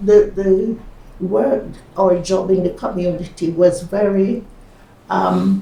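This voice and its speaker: A woman speaks at a very slow pace in a medium pitch with ordinary pitch variation, against noticeable background noise. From Jamaica. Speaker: retired nurse, midwife and psychotherapist. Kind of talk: oral history interview answer.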